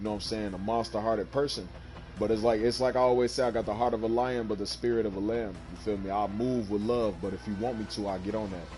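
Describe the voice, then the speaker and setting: A man talks at a very fast pace with an American accent, his pitch fairly low. His intonation is fairly even, and the room echo is audible. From Chicago, US Midwest. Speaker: gaming streamer. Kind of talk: casual chat.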